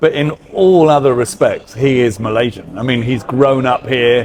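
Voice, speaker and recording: With a British accent, a man talks fairly slowly over noticeable background noise. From UK. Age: 50s. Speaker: hairdresser. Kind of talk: casual interview chat. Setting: on camera interview. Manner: hesitant, many fillers.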